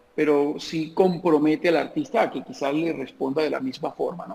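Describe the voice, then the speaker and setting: A man is talking. His delivery is fairly slow. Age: 50s. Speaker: comedian. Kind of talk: interview answer.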